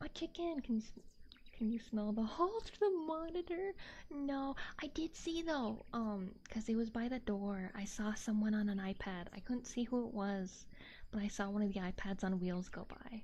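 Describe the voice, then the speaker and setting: A woman speaks in a somewhat breathy, dark, mellow tone with very wide pitch swings. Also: fairly high pitch for a woman. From Texas. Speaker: VTuber streamer. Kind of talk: casual livestream chat. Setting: livestream on camera. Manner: soft-spoken; halting, repeats words.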